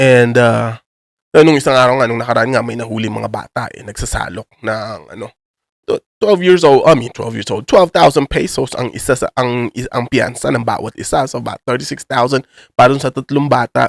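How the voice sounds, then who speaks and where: The man has an unremarkable speaking voice at a medium pitch with ordinary pitch variation. He talks at a moderate pace, in a dry, close sound with no echo. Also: big swings in loudness. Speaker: YouTuber. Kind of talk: casual vlog commentary in Taglish. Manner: casual, filler-heavy slang.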